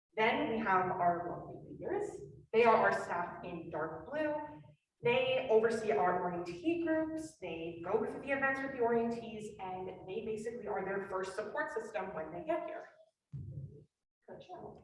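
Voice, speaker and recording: In a room with audible echo, a woman speaks at a moderate pace and a fairly high pitch, with very wide pitch swings and big swings in loudness. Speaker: student orientation coordinator. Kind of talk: presentation.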